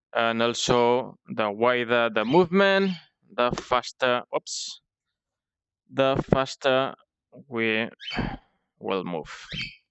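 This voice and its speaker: A man's very slow speech with a non-native accent, medium pitch, lively intonation and long, frequent pauses. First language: not English. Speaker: indie game developer. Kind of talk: devlog tutorial. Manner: halting with frequent fillers.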